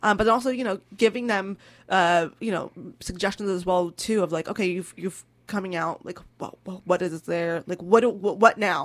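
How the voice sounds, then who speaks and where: A woman speaks in a normal speaking voice with an American accent. Her medium pitch stays fairly even in intonation at a moderate pace. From California. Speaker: interfaith community leader. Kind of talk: radio interview.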